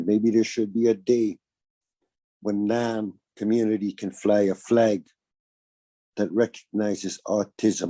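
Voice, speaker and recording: On a dry, close sound with no echo, a man with a dark, mellow tone and fairly low pitch speaks at a fairly slow pace in monotone, flat intonation, leaving long, frequent pauses. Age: 60s. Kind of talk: interview.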